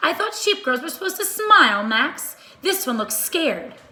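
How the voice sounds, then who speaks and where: Using a put-on character voice, a woman speaks at an extremely high pitch with very wide pitch swings. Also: moderate pace. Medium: read story. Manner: pompous.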